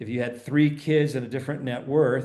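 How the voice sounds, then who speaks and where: Audible room echo surrounds a man whose intonation is fairly even. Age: 60s. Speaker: financial speaker. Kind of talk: interview.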